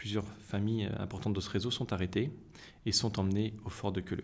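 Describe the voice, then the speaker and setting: This man speaks with a fairly low pitch. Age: 30s. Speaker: association secretary and doctor. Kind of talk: interview. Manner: halting.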